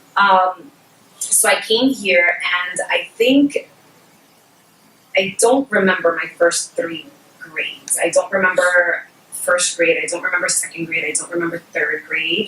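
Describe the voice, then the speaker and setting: Amid noticeable background noise, a woman with a Spanish accent speaks at medium pitch and a fairly slow pace, with ordinary pitch variation and long, frequent pauses. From Puerto Rico, moved to New York City at about 5 or 6. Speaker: bilingual education specialist. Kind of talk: educational webinar talk.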